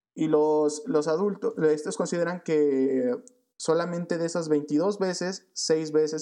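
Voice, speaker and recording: Speaking very slowly with a Mexican accent, a man uses a fairly high pitch, a dark, mellow tone and ordinary pitch variation. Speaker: podcast co-host. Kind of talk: casual chat.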